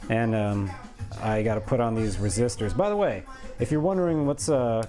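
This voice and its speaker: Music plays in the background as the speaker talks at a moderate pace with ordinary pitch variation. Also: man. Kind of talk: casual work-along chat. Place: workshop.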